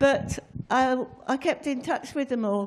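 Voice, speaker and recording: In an English accent, a woman speaks at a moderate pace against a quiet background. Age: 80s+. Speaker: long-serving football club secretary. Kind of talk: anecdotal storytelling. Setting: stage with audience. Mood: warm, reminiscing. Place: studio. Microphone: handheld.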